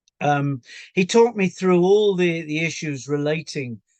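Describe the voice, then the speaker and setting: A man with an English accent at a moderate pace, lively in intonation, with a dry, close sound with no echo and a quiet background. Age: 70s. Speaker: patient. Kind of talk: testimony. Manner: halting, many fillers.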